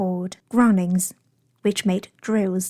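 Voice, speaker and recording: A woman with a British accent speaks in a dark, mellow tone, somewhat breathy, on a very clean recording with a silent background. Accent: British English (learned). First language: Chinese. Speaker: English teacher. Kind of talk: audiobook-style novel reading.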